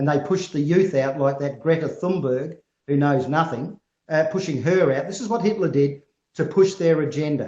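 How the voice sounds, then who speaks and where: A man with an Australian accent speaks at a fairly high pitch. His voice is somewhat breathy, with ordinary pitch variation. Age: 60s. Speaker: farm advocacy group representative. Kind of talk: interview answers. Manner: animated.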